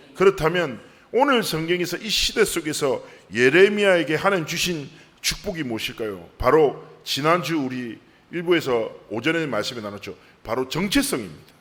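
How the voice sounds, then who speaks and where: In a slight Busan accent, a man talks at a moderate pace with a fairly high pitch and very wide pitch swings. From South Korea, Busan. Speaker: pastor. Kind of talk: sermon.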